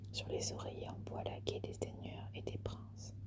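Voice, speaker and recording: A soft-spoken woman whispers in a calm tone at a fairly slow pace. Noticeable background noise can be heard. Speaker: ASMR content creator. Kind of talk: literary reading of ghost tales. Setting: ASMR video, close-mic recording. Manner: whispered, soft, calm.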